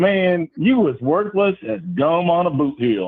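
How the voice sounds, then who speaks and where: A man puts on a drawling character voice in a Southern US accent, his pitch high and swinging very widely. He speaks at a fairly slow pace. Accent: southern US twang. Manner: drawling, twangy lilt.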